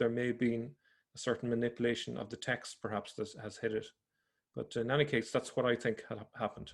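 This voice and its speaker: The speaker has an Irish accent. Their intonation stays fairly even. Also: man, very clean recording, silent background. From Ireland. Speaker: religion researcher / video presenter. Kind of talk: explanatory presentation. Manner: halting.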